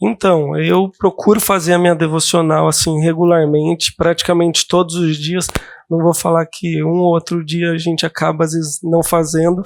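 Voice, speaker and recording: A soft-spoken man with a high pitch talks at a moderate pace in monotone, flat intonation, with a dry, close sound and no echo. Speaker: counselee in a simulated counseling session. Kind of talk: role-play counseling session. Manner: calm, soft-spoken; hesitant, many fillers.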